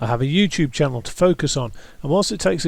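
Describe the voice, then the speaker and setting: A man talks very fast with a British accent. The recording is very clean, with a silent background. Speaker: YouTube creator, brain tumour survivor. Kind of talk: personal testimony. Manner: halting, occasionally stumbling over words; measured, scripted delivery.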